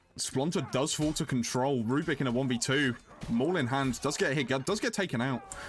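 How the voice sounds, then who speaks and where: A man with a British accent at a moderate pace, with ordinary pitch variation and very even loudness. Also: fairly high pitch for a man. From Britain. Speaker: esports caster. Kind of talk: live commentary.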